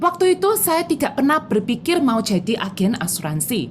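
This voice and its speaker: Speaking in a strong Javanese accent, a woman keeps a moderate pace while her high voice makes very wide pitch swings. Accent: strong Javanese accent in Indonesian. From Java, Indonesia. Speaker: insurance agent. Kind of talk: motivational talk mixing Indonesian and English.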